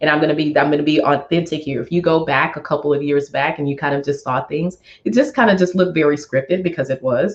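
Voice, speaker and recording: A woman with a very deep, low pitch, speaking with hardly any pauses. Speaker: finance expert and money mentor. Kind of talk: interview. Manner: animated.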